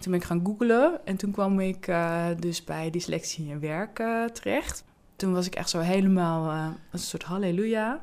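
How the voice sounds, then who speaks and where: Heard on a very clean recording with a silent background, a woman has an unremarkable speaking voice at medium pitch, ordinary pitch variation and a moderate pace. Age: 40s. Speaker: job coach in mental health care. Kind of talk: interview.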